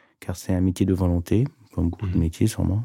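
A man talks with a very deep, low pitch and a dark, mellow tone. His intonation stays fairly even on a very clean recording with a silent background. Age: 40s. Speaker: master tailor, head of a tailoring house. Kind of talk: casual interview. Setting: studio.

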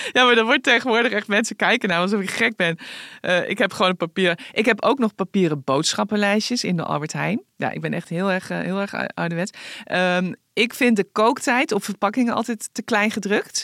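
On a very clean recording with a silent background and a dry, close sound with no echo, a woman with an ordinary speaking voice talks at a moderate pace, her medium pitch showing ordinary pitch variation. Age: 50s. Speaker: newspaper columnist and podcast host. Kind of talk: casual chat.

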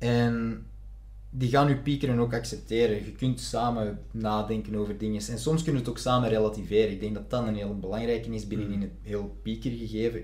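Audible room echo follows delivery that keeps a moderate speed. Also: man. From Flanders, near Antwerp. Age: 20s. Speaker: actor and film student. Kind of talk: casual chat.

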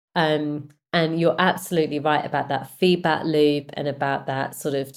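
Speaking at a moderate pace, a woman with a British accent has a very deep, low pitch. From Britain. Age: 40s. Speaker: music and film company executive. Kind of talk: interview.

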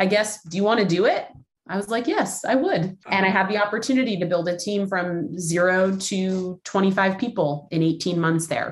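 A plain, everyday voice from a woman with an American accent, medium-pitched with ordinary pitch variation, at a moderate pace. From Los Angeles. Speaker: business executive. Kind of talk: interview.

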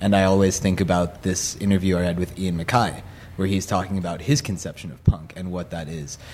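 A man with an American accent talks at a fairly quick pace in a very deep, low pitch. His intonation is fairly even, but his loudness swings a lot. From Los Angeles. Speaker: musician and designer. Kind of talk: casual chat. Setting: studio.

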